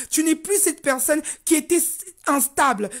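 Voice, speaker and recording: A woman's lively intonation comes across on a very clean recording with a silent background. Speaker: life coach. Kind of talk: motivational talk. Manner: deliberately slowed down.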